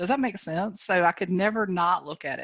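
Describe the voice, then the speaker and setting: A woman with a Southern US accent, medium-pitched, at a fairly quick pace against a quiet background. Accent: sweet Southern. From North Carolina. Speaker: real estate coach. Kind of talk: motivational talk on video call. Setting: video call. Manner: animated.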